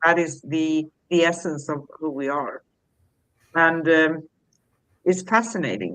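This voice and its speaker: A woman speaks at a very slow pace in a very deep, low pitch. Her pitch varies in an ordinary way, with long, frequent pauses. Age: 60s. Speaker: spiritual talk show co-host. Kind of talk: casual chat.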